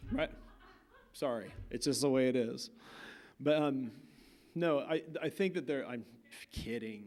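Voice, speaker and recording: Pausing long and often, a man with an American accent speaks fairly slowly in a fairly high pitch with ordinary pitch variation. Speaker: visiting artist. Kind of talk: lecture. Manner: casual, halting.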